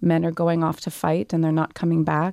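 The voice has a dark, mellow tone and a Canadian accent. The sound is dry and close with no echo, on a very clean recording with a silent background. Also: woman. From Canada, Montreal roots. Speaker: author. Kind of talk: interview.

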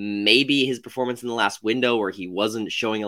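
Here a man speaks at medium pitch with a bright, sharp tone and ordinary pitch variation. His pace is fairly quick on a very clean recording with a silent background. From Tennessee, Chattanooga. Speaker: astronomy graduate student and soccer podcast panelist. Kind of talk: casual chat.

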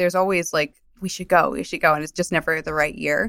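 On a very clean recording with a silent background, a woman with a New Jersey accent speaks with fairly even intonation. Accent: New Jersey American. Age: 30s. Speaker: media director. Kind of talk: interview. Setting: in person.

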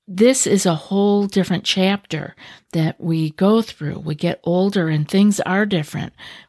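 In a normal speaking voice, a woman talks at a moderate pace with ordinary pitch variation. The sound is dry and close with no echo, on a very clean recording with a silent background. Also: medium pitch for a woman. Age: 60s. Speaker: anxiety coach and podcast host. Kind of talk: podcast monologue. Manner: calm, soothing.

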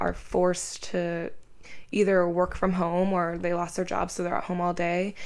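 At a moderate pace, a woman speaks in a fairly low pitch. Her intonation is monotone and flat. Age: 20s. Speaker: guest and co-host, cousin of host. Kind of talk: casual chat.

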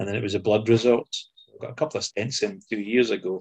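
Somewhat breathy and fairly low in pitch, a man speaks at a moderate pace with a Scottish accent. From Scotland. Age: 60s. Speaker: former footballer. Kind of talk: casual interview.

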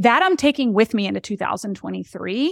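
A high-pitched woman with an animated tone, in a very clean recording over a silent background. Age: 40s. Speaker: podcast host, business coach. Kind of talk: solo monologue podcast. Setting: live stream.

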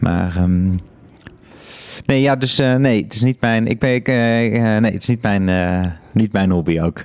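Fairly slow and fairly low in pitch, this man has an ordinary speaking voice. His pitch variation is ordinary. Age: 30s. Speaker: podcast host. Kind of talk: interview about art and life. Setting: studio.

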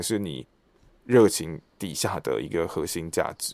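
A man talks with ordinary pitch variation on a very clean recording where the background is silent. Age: 30s. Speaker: stage actor and voice actor. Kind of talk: casual interview.

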